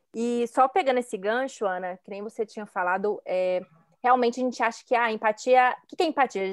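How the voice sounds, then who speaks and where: Recorded with a dry, close sound and no echo, a woman talks at a fairly quick pace with a high pitch and ordinary pitch variation. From Belo Horizonte, Minas Gerais, Brazil. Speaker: image consultant. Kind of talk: casual chat.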